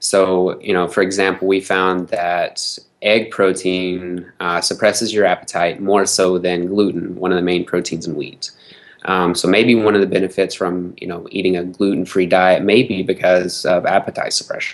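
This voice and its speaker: A man with a Southern US accent and a very deep, low pitch, flat and monotone at a moderate pace. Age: 20s. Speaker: nutrition expert. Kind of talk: interview. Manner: hesitant, many fillers.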